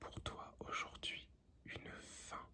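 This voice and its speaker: Someone is whispering. The pace is very slow. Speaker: ASMR tarot reader. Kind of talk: ASMR tarot reading. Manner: whispered.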